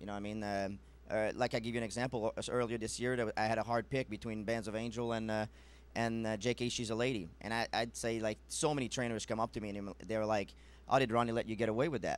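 Rattling along at a very fast pace, a man speaks in a monotone, flat intonation, the sound dry with no echo. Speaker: guest. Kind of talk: interview answer. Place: studio.

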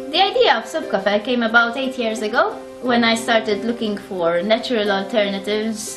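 A woman talks at a moderate pace with clear music in the background. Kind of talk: promotional talk to camera. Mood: warm, friendly. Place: shop.

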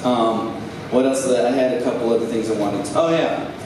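With ordinary pitch variation at a medium pitch, a man talks at a fairly quick pace amid audible room echo and clear background noise.

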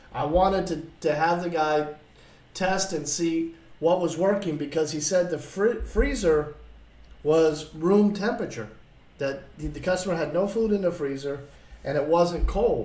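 Amid audible room echo, a man with a high pitch speaks at a moderate pace, leaving long, frequent pauses. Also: ordinary pitch variation. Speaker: appliance repair instructor. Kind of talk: lecture. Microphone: webcam.

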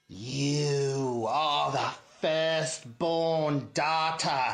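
Clear background noise runs under a put-on character voice. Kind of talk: comic overacting. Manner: mystical, condescending, sly.

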